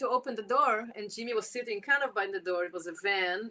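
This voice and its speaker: The woman's voice has a bright, sharp tone and a fairly high pitch. She keeps a moderate pace with ordinary pitch variation. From Israel. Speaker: jazz clarinetist. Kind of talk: interview.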